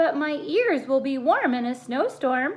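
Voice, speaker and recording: A woman puts on a character voice, pitched high and moving at a moderate pace. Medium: read story.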